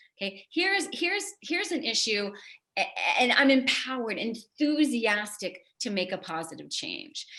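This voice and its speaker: With a New York accent, a woman speaks at a high pitch in a bright, sharp tone, her pitch swinging very widely. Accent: New York area American. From New York area. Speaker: psychologist. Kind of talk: inspirational talk. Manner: fast.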